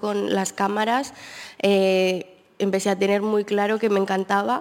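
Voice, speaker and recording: The speaker has a plain, everyday voice. The delivery comes at a fairly slow pace. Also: woman. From Colombia. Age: 20s. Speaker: photographer. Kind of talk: interview chat. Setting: auditorium with live audience.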